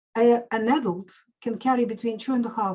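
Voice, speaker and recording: Somewhat breathy and dark, mellow in tone, a woman speaks at a moderate pace in a Russian accent. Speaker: medical doctor and nutritionist. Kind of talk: interview.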